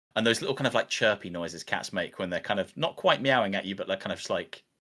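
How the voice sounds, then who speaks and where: A very fast pace with a British accent. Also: man. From Britain. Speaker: VR content creator, YouTuber. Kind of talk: casual interview chat.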